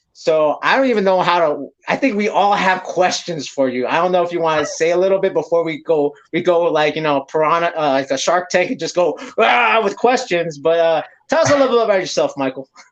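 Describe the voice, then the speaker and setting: A man with an American accent, high pitch, lively intonation and a fairly quick pace. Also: hardly any pauses. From San Francisco, US West Coast. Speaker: podcast host. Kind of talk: casual chat. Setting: livestream.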